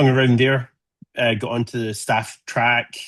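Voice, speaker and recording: The speaker is a man with a medium-pitched voice. His intonation stays flat and monotone. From Scotland, Glasgow. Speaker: solar physicist. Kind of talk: presentation to amateur radio group.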